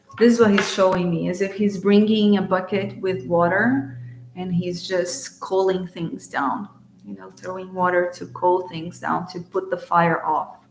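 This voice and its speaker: A woman's medium-pitched voice in a Portuguese accent, fairly slow and fairly even in intonation, with noticeable background noise. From Brazil. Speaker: spiritual channeler and card reader. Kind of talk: live-streamed oracle card reading. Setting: live stream.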